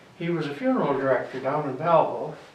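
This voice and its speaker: There is audible room echo and noticeable background noise as a man with an Ontario accent speaks in a fairly high pitch. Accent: Canadian, rural Ontario. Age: 80s+. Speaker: local historian, retired druggist. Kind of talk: interview, reminiscing. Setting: library reading room. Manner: halting.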